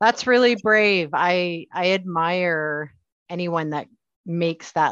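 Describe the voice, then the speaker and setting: This woman has a plain, everyday voice, fairly low in pitch, with a Canadian accent. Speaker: podcast host and HR instructor. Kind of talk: casual interview conversation.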